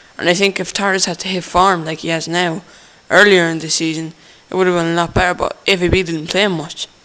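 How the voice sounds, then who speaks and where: A man speaks at a fairly quick pace in a high-pitched, monotone voice with flat intonation, over noticeable background noise. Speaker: football vlogger. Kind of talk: casual monologue. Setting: on a train. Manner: fast.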